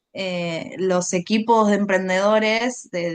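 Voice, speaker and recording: A woman speaks in an Argentine accent. Her medium-pitched voice keeps a fairly even intonation. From Argentina. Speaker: environmental communication consultant. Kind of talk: interview.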